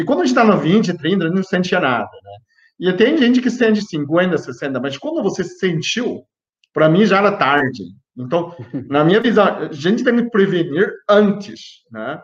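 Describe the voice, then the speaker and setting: A man's high voice, fairly slow, with very wide pitch swings. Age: 50s. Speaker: health youtuber, biochemist. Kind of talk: live stream health talk. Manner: animated; halting.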